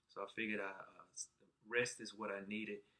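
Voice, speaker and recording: A man with a Southern US accent. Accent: southern twang. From Alabama, US South. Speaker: patient sharing surgery experience. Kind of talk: personal vlog testimony. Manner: halting, many fillers.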